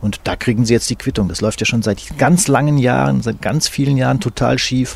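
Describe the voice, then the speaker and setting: Over noticeable background noise, a man of medium pitch speaks at a moderate pace. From eastern Hesse, Fulda. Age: 60s. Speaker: sports journalist. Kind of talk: interview. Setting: at his home.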